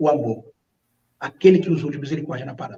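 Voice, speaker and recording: A man's dark, mellow tone, with vocal fry and ordinary pitch variation. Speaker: pastor. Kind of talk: religious reflection. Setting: online livestream.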